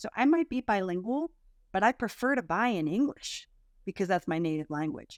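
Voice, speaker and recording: A woman's medium-pitched voice with an American accent, an unremarkable speaking voice at a moderate pace, dry, close sound with no echo, and a very clean recording with a silent background. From US. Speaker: content marketing agency owner. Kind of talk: interview podcast.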